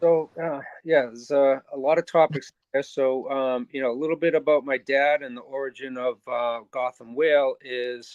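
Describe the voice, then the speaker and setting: A man with a Boston accent, fairly high pitch and fairly even intonation. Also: moderate pace. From Boston area, US. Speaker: ocean conservation organizer. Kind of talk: podcast interview. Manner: hesitant, many fillers.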